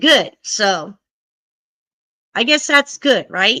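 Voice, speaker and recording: A woman speaks very slowly in a high, bright, sharp voice that is raised and projected, with lively intonation. The recording is very clean and the background silent. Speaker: YouTube host reading a book aloud on live stream. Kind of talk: casual live-stream chat. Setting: live stream.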